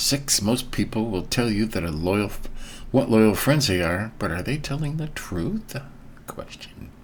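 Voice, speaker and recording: A man talks at a fairly slow pace with a medium pitch and lively intonation. Audible room echo surrounds his voice. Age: 60s. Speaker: bible reading channel host. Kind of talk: reading aloud with commentary. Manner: casual, conversational.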